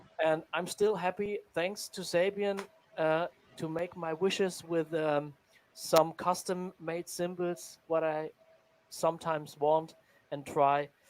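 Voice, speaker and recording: A man with a non-native accent and high pitch, very slow pace and monotone, flat intonation. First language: not English. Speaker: drummer and drum teacher. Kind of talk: tutorial. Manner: halting.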